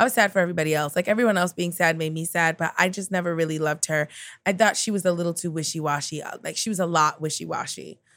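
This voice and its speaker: A speaker with an American accent talks at a very fast pace in an animated tone. The recording is very clean, with a silent background. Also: woman, fairly low pitch for a woman. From New York (Queens). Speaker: comedian. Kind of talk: casual chat.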